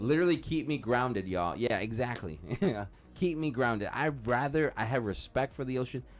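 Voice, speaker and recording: A man at medium pitch talks at a fairly quick pace in an animated tone. His intonation is lively and his loudness very even. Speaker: podcast co-host. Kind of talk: casual chat. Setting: live stream.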